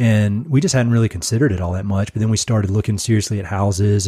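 Speaking at a very fast pace in a North Carolina accent, a man sounds somewhat breathy, with a dark, mellow tone, a fairly low pitch, and fairly even intonation, in a very clean recording with a silent background. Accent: North Carolina Southern. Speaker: podcast host and conservation director. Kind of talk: podcast interview, casual chat. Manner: halting, filler-heavy.

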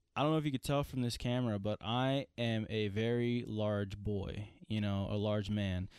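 Against a quiet background, a man speaks at a moderate pace with very even loudness, fairly even intonation and hardly any pauses. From Tennessee. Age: 20s. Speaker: podcast host and cook. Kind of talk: casual chat.

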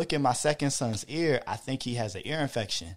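A man with an American accent, an ordinary speaking voice at medium pitch, ordinary pitch variation, a fairly quick pace, very clean recording with a silent background. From Hampton, Virginia. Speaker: father and podcast listener. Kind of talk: casual chat.

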